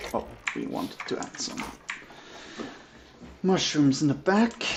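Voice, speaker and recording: The tone is relaxed. Noticeable background noise runs underneath. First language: German. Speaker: gaming streamer. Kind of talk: casual gameplay commentary. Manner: relaxed, thinking aloud.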